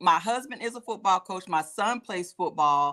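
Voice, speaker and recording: With an American accent, a woman uses a normal speaking voice at a fairly quick pace. Her intonation is lively. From Alabama, US South. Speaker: football coach and wellness coach. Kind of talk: talk show interview. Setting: live online show.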